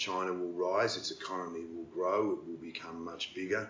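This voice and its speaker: Noticeable noise runs behind this recording. A man with an Australian accent speaks at a moderate pace. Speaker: podcast host. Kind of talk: interview.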